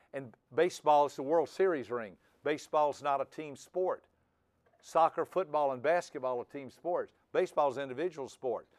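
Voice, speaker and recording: Recorded very cleanly with a silent background and a dry, close sound with no echo, a man uses an ordinary speaking voice at a fairly high pitch with ordinary pitch variation. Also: moderate pace. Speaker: personality trainer. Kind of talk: seminar lecture.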